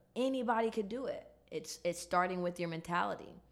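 With an American accent, a woman talks in a plain, everyday voice at medium pitch with ordinary pitch variation. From Chicago, inner city. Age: 20s. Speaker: entrepreneur. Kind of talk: casual interview.

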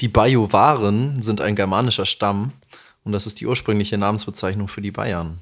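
On a very clean recording with a silent background, a man talks at a moderate pace in a plain, everyday voice. His pitch is fairly low and varies in an ordinary way. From Lower Franconia, Bavaria (Aschaffenburg area). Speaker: podcast co-host. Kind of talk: casual chat.

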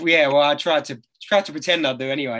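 A man talks at a fast pace in a fairly high pitch, with a fairly bright tone and ordinary pitch variation.

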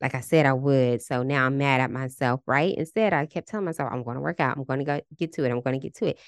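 At a very fast pace, a woman talks in a very deep, low pitch with an animated tone and a dry, close sound with no echo. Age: 30s. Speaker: podcast host and relationship coach. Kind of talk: casual solo monologue.

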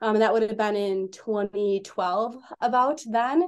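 A woman with an American accent speaks in a plain, everyday voice at a fairly high pitch. Her intonation stays fairly even against a quiet background. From Wisconsin. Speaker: construction management business owner. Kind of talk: podcast interview.

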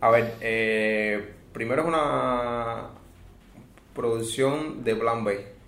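A man speaks at a very slow pace and medium pitch, with long, frequent pauses, noticeable background noise and audible room echo. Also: ordinary pitch variation. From Cuba. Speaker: podcast host and magazine editor. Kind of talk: casual chat about film. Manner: halting.

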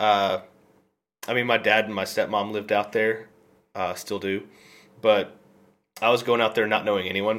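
In a very clean recording with a silent background, a man with an American accent speaks at a moderate pace in a fairly low pitch, his intonation monotone and flat, with long, frequent pauses. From Memphis, Tennessee (US South). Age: 20s. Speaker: Twitch streamer. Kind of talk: casual chat.

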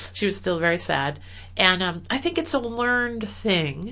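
A woman speaks with an American accent, her pitch medium and her intonation lively. It is an unremarkable speaking voice. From US Midwest, rural Illinois. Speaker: dentist and online publisher. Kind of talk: interview.

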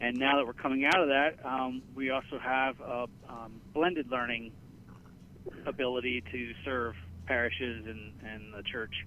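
A man speaks with a central Pennsylvania accent. His pace is moderate and his intonation fairly even. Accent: central Pennsylvania American. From Pennsylvania, Gettysburg area. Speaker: marketing director. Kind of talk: interview.

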